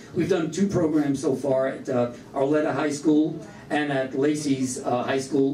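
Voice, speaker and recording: Speaking in a Brooklyn accent at a moderate pace, a man is heard through noticeable background noise and audible room echo. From New York, Brooklyn. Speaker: event host, master of ceremonies. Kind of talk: ceremony introduction speech. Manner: halting, many fillers.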